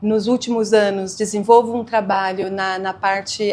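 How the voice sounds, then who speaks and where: A woman with a São Paulo accent speaks at a fairly slow pace, her medium pitch in a monotone, flat intonation. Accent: São Paulo Brazilian Portuguese. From São Paulo area, Brazil. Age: 50s. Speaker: singer and cultural worker. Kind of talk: documentary interview.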